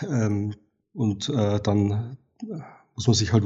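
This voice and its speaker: A man speaks in a somewhat breathy voice. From Bavaria, Regensburg area. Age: 40s. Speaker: wildlife and landscape photographer. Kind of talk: interview conversation. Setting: evening recording. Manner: halting with fillers.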